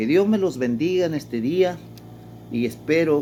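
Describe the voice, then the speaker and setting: Music plays behind a man speaking at a moderate pace with lively intonation. Audible room echo fills the recording. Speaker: pastor. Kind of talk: sermon.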